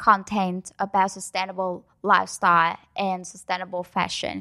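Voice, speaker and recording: A woman speaks with a Vietnamese accent. The recording is very clean, the background silent. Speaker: student organization project lead. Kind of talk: interview.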